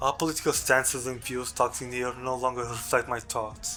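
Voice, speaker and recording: A man speaks at a medium pitch. Behind him, music plays. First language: not English. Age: 20s. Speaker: video creator. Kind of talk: personal testimony. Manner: halting.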